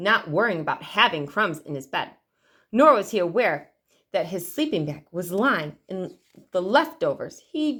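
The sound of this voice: The background stays quiet while the text is read in an unforced reading voice.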